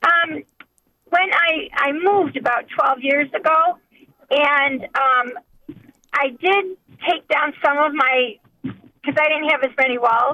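A woman speaks at a very slow pace with long, frequent pauses. Her voice is high-pitched, with ordinary pitch variation and very even loudness. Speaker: caller. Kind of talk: casual chat.

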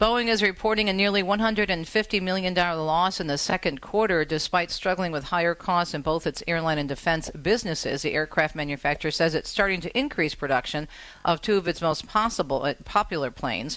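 A woman talks at a fairly quick pace with hardly any pauses, in an unremarkable speaking voice with an American accent. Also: fairly low pitch for a woman, ordinary pitch variation. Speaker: radio host. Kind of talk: casual radio talk show. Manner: warm, chatty.

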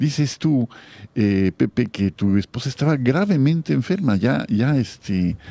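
A man with a dark, mellow tone speaks at medium pitch and a fairly slow pace, using very wide pitch swings at very even loudness. The sound is dry and close with no echo, on a very clean recording with a silent background. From Mexico, Guadalajara. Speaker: radio host. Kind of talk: radio interview.

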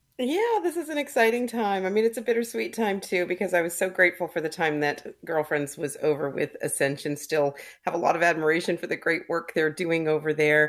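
With a normal speaking voice, a woman talks at a fairly quick pace with hardly any pauses, a fairly low pitch and lively intonation. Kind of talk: radio interview.

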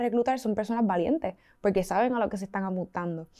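A woman with a dark, mellow tone and a fairly high pitch talks very fast with ordinary pitch variation on a very clean recording with a silent background. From Puerto Rico. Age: 20s. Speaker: student activist. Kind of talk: interview.

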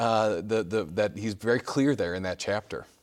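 A man with a Chicago accent talks at a moderate pace. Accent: Chicago-area American. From US Midwest, Chicago suburbs. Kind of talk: TV interview with call-ins. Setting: studio.

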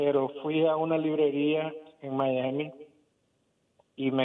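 A man with a fairly high pitch talks very slowly with fairly even intonation. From Nicaragua. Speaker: caller. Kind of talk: phone call-in question.

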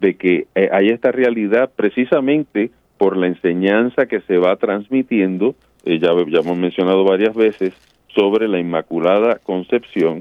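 A man talking at a fairly slow pace. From Puerto Rico. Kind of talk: radio call-in show on faith. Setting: studio. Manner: halting, repeats words.

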